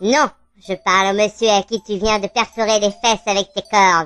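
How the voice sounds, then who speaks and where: Faint music plays behind a female-sounding, put-on character voice at a medium pitch. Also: moderate pace. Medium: audio drama. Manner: brash and vulgar.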